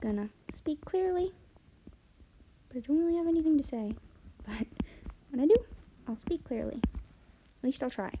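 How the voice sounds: A quiet, mumbling put-on character voice from a woman at a high pitch, with lively intonation, a moderate pace and long, frequent pauses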